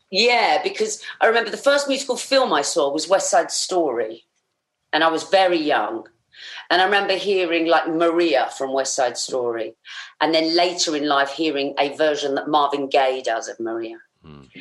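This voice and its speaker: A woman with a fairly low pitch speaks at a moderate pace. Her pitch swings very widely and her loudness rises and falls sharply. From Essex, England. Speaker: musical theatre performer. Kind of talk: casual chat.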